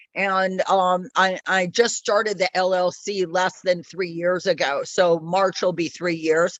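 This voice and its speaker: A woman with an unremarkable speaking voice, medium in pitch, with fairly even intonation at a fairly slow pace. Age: 60s. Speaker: attendee, business owner. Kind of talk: self-introduction.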